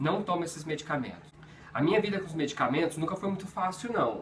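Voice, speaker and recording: A high-pitched man's voice against noticeable background noise. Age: 30s. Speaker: video blogger living with HIV. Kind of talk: personal vlog talk to camera. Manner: halting, with repetitions.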